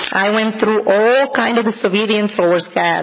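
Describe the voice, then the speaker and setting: Someone speaks with a Spanish accent over noticeable background noise. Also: woman. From Dominican Republic. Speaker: church member giving testimony. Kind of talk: testimony.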